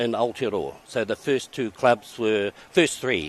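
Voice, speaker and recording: In a New Zealand accent, a man speaks at a moderate pace and medium pitch with ordinary pitch variation. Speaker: race commentator. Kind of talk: casual interview.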